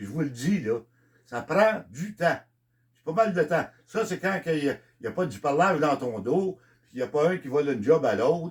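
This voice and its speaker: Speaking at a moderate pace in a Quebec accent, a man with a fairly high pitch and vocal fry makes very wide pitch swings and big swings in loudness. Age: 70s. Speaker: country singer. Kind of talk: monologue. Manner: halting.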